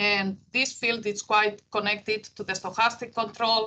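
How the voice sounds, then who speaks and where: The tone is bright and sharp, delivered at a moderate pace in a Greek accent. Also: woman. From Greece. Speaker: engineering professor. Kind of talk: keynote lecture. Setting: university talk with audience. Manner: hesitant, many fillers.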